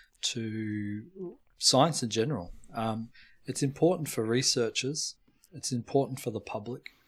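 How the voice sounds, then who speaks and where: Fairly slow, somewhat breathy speech in an Australian accent, with long, frequent pauses. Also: man, medium pitch for a man, ordinary pitch variation. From Melbourne, Australia. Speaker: molecular biologist. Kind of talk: casual interview chat.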